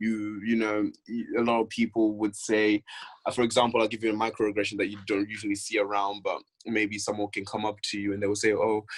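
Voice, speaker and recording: Over a very clean recording with a silent background, a man with a non-native accent speaks fairly quickly in a fairly low, monotone voice with flat intonation. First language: not English. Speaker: university student. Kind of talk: casual chat. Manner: repetitive, halting at times.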